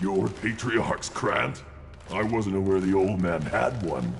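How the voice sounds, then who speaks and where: In a put-on character voice, a man speaks fairly slowly at a very deep, low pitch while clear background noise runs behind him. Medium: video game. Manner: taunting.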